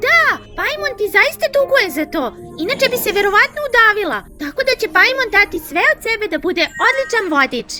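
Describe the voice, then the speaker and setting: A put-on character voice at an extremely high pitch, with clear music in the background. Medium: dub.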